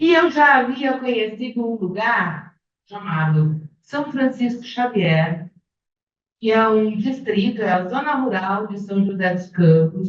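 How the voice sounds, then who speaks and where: Somewhat breathy woman's voice of medium pitch, fairly slow, with lively intonation. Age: 60s. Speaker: retired fashion professor. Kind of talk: academic panel talk.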